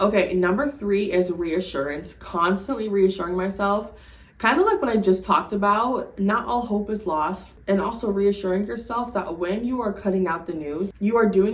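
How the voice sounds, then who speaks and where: Noticeable background noise sits under a woman's voice at a medium pitch. She talks at a moderate pace with ordinary pitch variation. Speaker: lifestyle vlogger. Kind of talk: casual advice monologue. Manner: stutters when unsure; animated, swears a lot.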